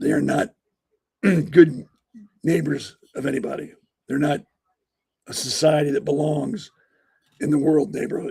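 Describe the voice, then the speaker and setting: With vocal fry, a man talks in bursts broken by long, frequent pauses. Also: ordinary pitch variation, moderate pace. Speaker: podcast host. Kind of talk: casual commentary. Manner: conversational, with filler words.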